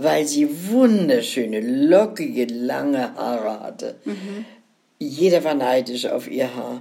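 Speaking at a very slow pace, a woman's loudness swings widely. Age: 90s. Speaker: grandmother telling life stories. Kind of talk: casual chat.

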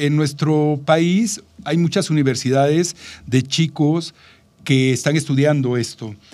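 This man talks very slowly, his voice pitched fairly high. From Mexico, Veracruz port. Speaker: travel podcast co-host. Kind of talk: casual chat.

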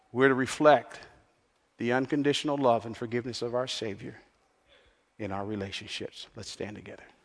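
A man with a medium-pitched voice speaks at a fairly quick pace with fairly even intonation, long and frequent pauses, and big swings in loudness. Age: 60s. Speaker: pastor. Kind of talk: sermon. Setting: church.

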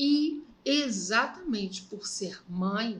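Somewhat breathy, a woman with a fairly high pitch speaks with lively intonation. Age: 60s. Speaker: podcast host's mother. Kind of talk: casual chat.

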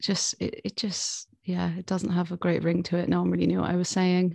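A woman speaks at a fairly quick pace with a southern English accent. The sound is dry and close with no echo, on a very clean recording with a silent background. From southern England. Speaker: singer-songwriter. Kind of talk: interview.

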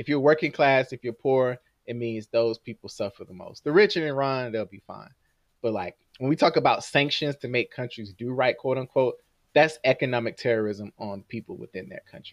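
An unremarkable speaking voice, a man at a medium pitch with an American accent talks at a fairly quick pace with lively intonation, the sound dry and close with no echo. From Jacksonville, Florida. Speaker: podcast co-host. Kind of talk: casual chat.

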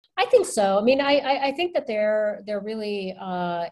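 Ordinary pitch variation in a woman's medium-pitched delivery, a normal speaking voice. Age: 40s. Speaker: life coach. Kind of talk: casual chat.

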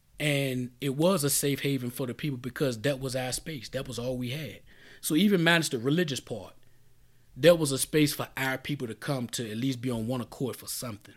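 The recording is very clean with a silent background. A man at a medium pitch talks at a fairly quick pace with ordinary pitch variation. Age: 40s. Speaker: podcast host. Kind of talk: solo monologue. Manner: casual, free-flowing.

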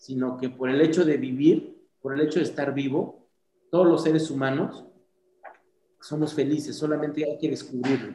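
A man with an ordinary speaking voice talks at a moderate pace, fairly high in pitch, with fairly even intonation. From Mixteca region, Oaxaca, southern Mexico. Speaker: dental clinic founder and CEO. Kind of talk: interview.

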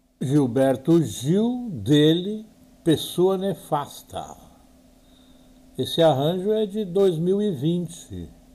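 At a very slow pace with long, frequent pauses, a man speaks in a high, dark and mellow voice with lively intonation. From southern Brazil, Porto Alegre. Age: 70s. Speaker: radio host and journalist. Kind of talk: radio talk show.

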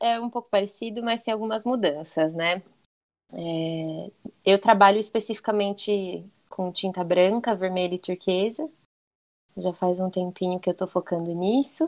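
Her pitch is medium and shows ordinary variation as this woman speaks at a moderate pace. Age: 20s. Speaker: tattoo artist. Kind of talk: interview. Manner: talkative.

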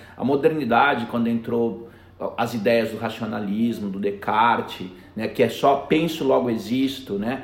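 A man talks at a fairly slow pace with ordinary pitch variation, with audible room echo and noticeable background noise around him. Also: medium pitch for a man. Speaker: education director. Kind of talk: interview.

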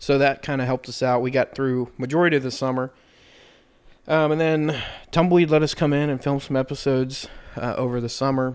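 A man with a fairly high voice speaks in a monotone, flat way. The recording is very clean, with a silent background. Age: 20s. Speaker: podcast host. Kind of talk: casual chat.

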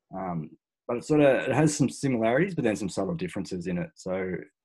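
Over a silent background on a very clean recording, a man with an Australian accent talks at a very fast pace with lively intonation. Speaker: special forces veteran and performance researcher. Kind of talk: interview conversation.

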